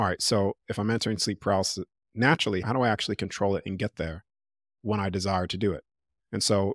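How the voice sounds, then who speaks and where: With an American accent, a man with a fairly low pitch talks very fast and with fairly even intonation, in a dry, close sound with no echo on a very clean recording with a silent background. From United States. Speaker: OBE teacher and speaker. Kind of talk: casual interview chat.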